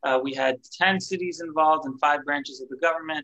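Against a quiet background, a man with a bright, sharp tone talks at a fairly quick pace with ordinary pitch variation. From Florida, US. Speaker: community activist; guest. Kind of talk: interview. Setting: video call. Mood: friendly, warm. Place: home room. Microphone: video call.

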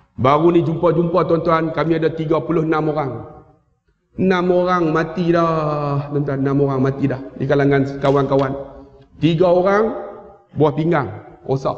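A man talks at a fairly slow pace in a fairly high pitch, with long, frequent pauses. His tone is animated. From Malaysia. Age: 50s. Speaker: Islamic teacher and preacher. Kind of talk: sermon and religious lecture with humor. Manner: loud, animated. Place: hall. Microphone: headset.

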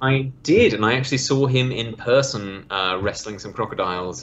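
A man speaks with a British accent. His pace is moderate, with ordinary pitch variation. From Australia. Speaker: museum worker. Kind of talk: podcast interview answer. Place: home room. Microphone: video call.

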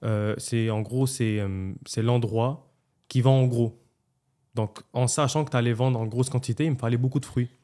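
A man with a dark, mellow tone speaks with fairly even intonation and long, frequent pauses against a quiet background. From Montreal, Quebec. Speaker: restaurant owner, entrepreneur; podcast guest. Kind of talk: casual interview, life story. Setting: podcast studio. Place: studio. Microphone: studio mic.

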